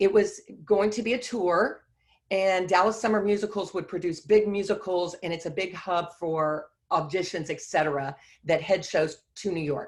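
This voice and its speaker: A woman speaks at a moderate pace with a Texan accent. Her pitch sits in the medium range and varies in an ordinary way. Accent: Texan (US South). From Texas (Beaumont). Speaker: Broadway choreographer and dancer. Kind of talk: guest talk, personal career story.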